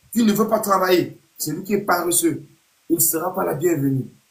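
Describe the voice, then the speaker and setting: This man speaks with a high pitch. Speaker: youth football coach. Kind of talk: live stream pep talk to young players. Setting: online live video stream. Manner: loud.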